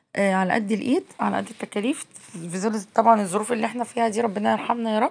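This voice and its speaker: A woman with an Egyptian accent, very fast, fairly high-pitched, with ordinary pitch variation. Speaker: cooking vlogger. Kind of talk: casual vlog narration.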